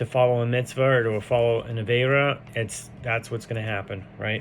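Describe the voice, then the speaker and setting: Monotone and flat in intonation, a man's voice moves at a moderate pace. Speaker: Torah teacher. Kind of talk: text study lecture, reading aloud with commentary. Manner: halting, with fillers.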